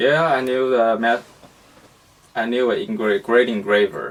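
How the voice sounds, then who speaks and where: A man with a Chinese accent at medium pitch, fairly slow pace and lively intonation, long, frequent pauses, and noticeable background noise. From China. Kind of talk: interview. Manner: halting.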